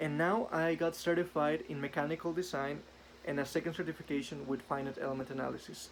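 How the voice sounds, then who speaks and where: The man talks at a very fast pace. His voice is fairly high, with fairly even intonation. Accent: Spanish. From northern Mexico, Ciudad Juarez. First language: Spanish. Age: 20s. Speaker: engineer. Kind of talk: self-introduction video. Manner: some hesitations and fillers.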